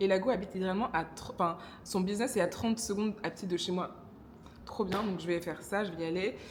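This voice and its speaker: Her speech races along at a very fast pace, with a slight Congolese accent. The woman's intonation stays fairly even. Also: medium pitch for a woman. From DR Congo. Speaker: vlogger. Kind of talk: casual vlog talk to camera. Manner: hesitant, many fillers.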